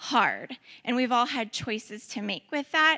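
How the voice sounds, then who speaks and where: A woman's high, bright, sharp voice at a moderate pace with ordinary pitch variation. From St. Louis area, Missouri (Ferguson). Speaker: church member sharing ministry experience. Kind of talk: testimony talk.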